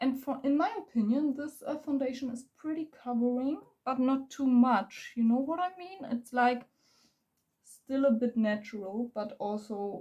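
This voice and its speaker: Fairly slow speech from a woman in a German accent, high-pitched with a dark, mellow tone, ordinary pitch variation and big swings in loudness. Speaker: beauty vlogger. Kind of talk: makeup tutorial. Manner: halting; casual.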